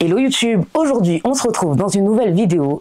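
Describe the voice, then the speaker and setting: Lively intonation marks this woman's speech. The sound is dry and close with no echo, with noticeable background noise. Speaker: coloring hobby youtuber. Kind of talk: product review vlog. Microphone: new microphone, not yet mastered.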